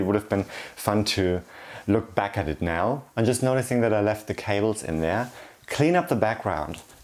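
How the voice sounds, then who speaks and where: A man speaks with a German accent. His pitch is fairly low. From Germany. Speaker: YouTuber. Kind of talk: casual vlog chat.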